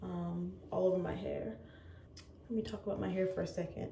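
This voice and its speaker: A woman speaks in a room with audible echo while noticeable background noise carries on. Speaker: lifestyle vlogger. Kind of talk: casual vlog talk. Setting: bathroom at home. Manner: quiet, hushed.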